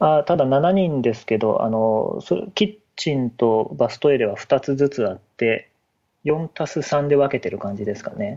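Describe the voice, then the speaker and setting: An unremarkable speaking voice from a man, at a fairly slow pace, with lively intonation and big swings in loudness. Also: fairly high pitch for a man. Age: 30s. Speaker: web engineer. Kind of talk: casual chat.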